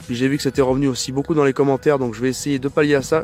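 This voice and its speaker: A man at a very fast pace, fairly high in pitch with fairly even intonation, music in the background. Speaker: motorbike vlogger. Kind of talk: casual vlog. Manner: stammering, hesitant.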